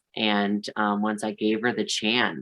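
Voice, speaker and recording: An unremarkable speaking voice from a man with a Canadian accent, fairly low in pitch, at a moderate pace. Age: 30s. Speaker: drag performer. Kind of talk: podcast interview.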